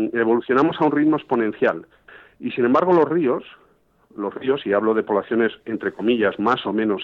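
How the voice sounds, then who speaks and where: Using a normal speaking voice, the man keeps a medium pitch, a moderate pace and ordinary pitch variation. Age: 50s. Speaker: fly fishing guide and fly tier. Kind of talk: casual interview. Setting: phone call.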